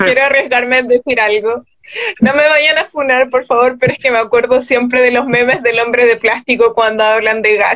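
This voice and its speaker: Over a quiet background, a woman with a high pitch talks at a moderate pace with fairly even intonation. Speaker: guest. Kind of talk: conversational panel discussion. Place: home room. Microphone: video call.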